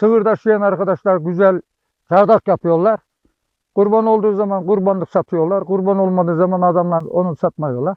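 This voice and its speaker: This man has a high pitch and fairly even intonation. He speaks at a moderate pace. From Turkey, Konya province. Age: 70s. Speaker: herdsman. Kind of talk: interview.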